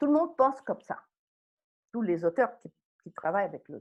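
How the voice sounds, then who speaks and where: Her pitch swings very widely. The woman is heard against a quiet background. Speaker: psychoanalyst. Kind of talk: lecture. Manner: halting.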